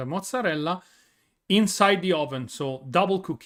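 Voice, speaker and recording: On a very clean recording with a silent background, a man with an Italian accent talks at a moderate pace, his high-pitched voice full of lively intonation. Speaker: streamer. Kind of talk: casual chat. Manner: halting.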